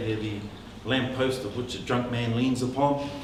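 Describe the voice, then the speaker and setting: Moderately paced male speech amid noticeable background noise and audible room echo. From New Zealand, Northland (Māori). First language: Māori. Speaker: politician. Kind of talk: public talk. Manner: hesitant, many fillers.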